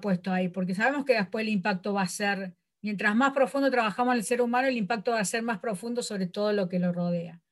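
The recording is very clean with a silent background. A woman speaks in a fairly high, somewhat breathy voice with ordinary pitch variation. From Córdoba, Argentina. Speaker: sports coach. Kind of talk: interview.

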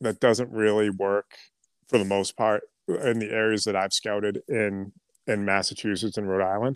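A man with an American accent at a moderate pace, fairly low in pitch and monotone in intonation, recorded dry and close with no echo in a very clean take over a silent background. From Boston, then central New Hampshire. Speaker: clothing brand founder and duck hunter. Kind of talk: casual chat.

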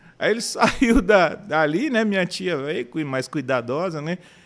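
A man's very slow delivery with very wide pitch swings. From São Paulo city, Brazil. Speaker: businessman and church member. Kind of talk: casual interview.

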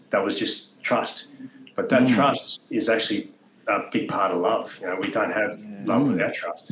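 A man talks at a moderate speed, with noticeable noise behind him. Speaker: former special forces soldier. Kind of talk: casual chat.

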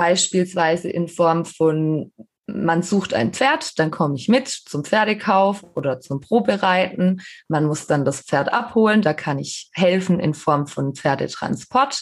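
A woman's fairly low voice at a very slow pace, lively in intonation, with a quiet background. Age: 30s. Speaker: horse trainer, podcast co-host. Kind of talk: casual chat.

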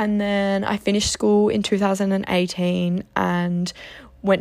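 A woman speaks at a fairly slow pace with an Australian accent. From Australia, Geelong, Victoria. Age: 20s. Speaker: podcast host, psychology student. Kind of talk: casual monologue.

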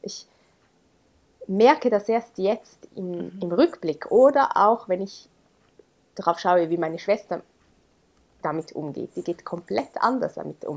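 A woman's medium-pitched voice at a very slow pace, with lively intonation, long, frequent pauses and big swings in loudness. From Switzerland, Graubünden. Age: 30s. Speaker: teacher and blogger on adoption. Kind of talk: interview, personal testimony.

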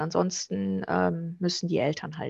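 The speaker is a woman. The background is quiet. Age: 30s. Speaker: student finance advisor. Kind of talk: informational interview.

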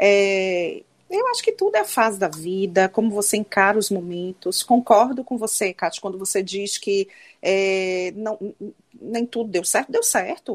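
A woman's plain, everyday voice, medium in pitch and fairly even in intonation, at a fairly slow pace, dry and close with no echo. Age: 40s. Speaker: psychologist and former lawyer. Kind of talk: casual chat.

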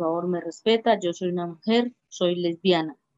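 This woman's voice sits at a medium pitch and moves at a moderate pace. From Colombia, Arauca (Saravena), rural. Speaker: LGBT community leader. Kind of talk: interview. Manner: halting, repeats words.

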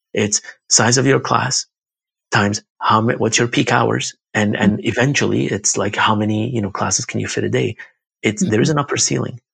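This man talks at a fairly quick pace with lively intonation and vocal fry. The sound is dry and close, with no echo. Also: fairly low pitch for a man. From Iraq. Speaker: yoga studio owner. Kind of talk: casual interview. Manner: talkative, filler words.

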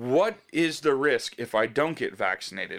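A man with an ordinary speaking voice, fairly high pitch and lively intonation, on a very clean recording with a silent background. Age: 40s. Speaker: podcast co-host. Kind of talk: casual chat.

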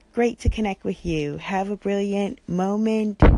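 The background stays quiet as a woman talks with an American accent. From US suburbs. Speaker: caller. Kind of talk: voice message.

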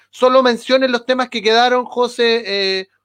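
A man speaks at an extremely high pitch. His intonation stays fairly even. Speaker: podcast co-host. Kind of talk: casual chat.

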